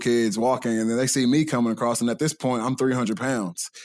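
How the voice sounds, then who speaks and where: A man's fairly quick speech at a medium pitch, with ordinary pitch variation. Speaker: college football player. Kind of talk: casual chat. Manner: loud.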